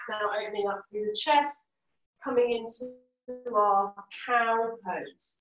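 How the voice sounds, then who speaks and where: This woman's high-pitched voice moves at a very slow pace, its pitch variation ordinary. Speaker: yoga teacher. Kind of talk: live yoga class instruction. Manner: calm, soft-spoken.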